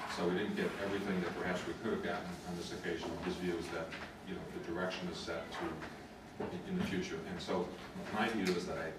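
Loud background noise and audible room echo surround a man speaking very fast. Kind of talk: meeting statement. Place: meeting room. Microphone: camera far.

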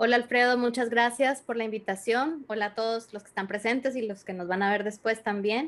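At a fairly quick pace, a woman talks in a fairly high pitch with fairly even intonation. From Venezuela. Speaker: astrologer; podcast guest. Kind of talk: interview. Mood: calm, friendly. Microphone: video call.

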